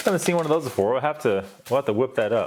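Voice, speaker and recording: Noticeable background noise fills the clip. The man's pitch swings very widely as he talks. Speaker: ration reviewer. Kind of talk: unboxing review. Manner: casual, conversational.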